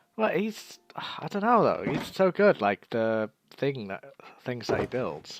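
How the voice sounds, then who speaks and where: Very slowly, a man talks with very wide pitch swings in a dry, close sound with no echo. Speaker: gamer. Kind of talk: casual chat.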